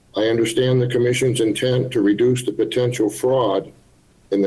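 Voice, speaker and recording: A somewhat breathy male voice of medium pitch. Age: 70s. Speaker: hunter giving public comment. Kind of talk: public comment at a meeting. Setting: video link to public meeting. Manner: formal.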